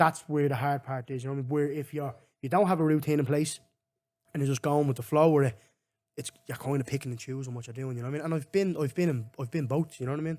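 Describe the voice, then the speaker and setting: With a Dublin accent, a man talks very fast in a fairly high pitch. His intonation is fairly even. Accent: Dublin Irish. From Ireland, Finglas, Dublin. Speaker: MMA fighter. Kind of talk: casual chat.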